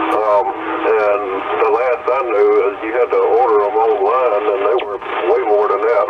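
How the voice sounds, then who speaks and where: A man speaks at a fairly slow pace. Noticeable background noise and audible room echo surround him. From Louisiana. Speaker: CB radio operator. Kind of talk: radio chat. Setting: CB radio.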